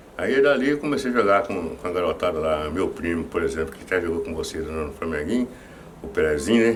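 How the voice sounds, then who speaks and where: A man's voice sits very deep and low, yet swings very widely in pitch. Audible room echo surrounds it. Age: 60s. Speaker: former football goalkeeper. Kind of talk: interview. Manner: halting, many repetitions.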